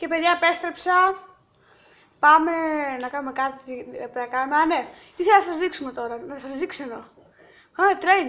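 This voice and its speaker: A woman's extremely high pitch, bright and sharp in tone, with lively intonation, big swings in loudness, a moderate pace and long, frequent pauses. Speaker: gaming youtuber. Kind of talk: gameplay commentary.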